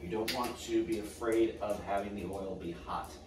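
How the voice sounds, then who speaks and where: Noticeable background noise and audible room echo surround this recording. A man talks at a moderate pace. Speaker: home cook host. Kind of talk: cooking tutorial. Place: kitchen.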